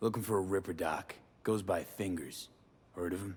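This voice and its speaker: At a moderate pace, a raspy, low-pitched put-on character voice carries the line. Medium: video game. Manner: blunt, terse.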